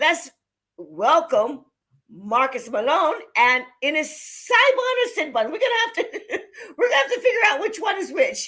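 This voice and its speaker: A woman projects a raised voice at an extremely high pitch, bright and sharp in tone. She sounds animated, with very wide pitch swings. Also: moderate pace. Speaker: online show host. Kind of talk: live talk show introduction.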